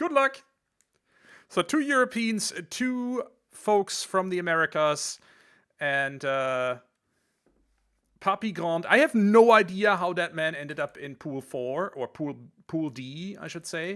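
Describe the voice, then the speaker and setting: A man's high, bright, sharp voice with a German accent, very slow and full of long, frequent pauses, with very wide pitch swings and big swings in loudness, on a very clean recording over a silent background. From Germany. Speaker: esports commentator. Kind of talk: live commentary.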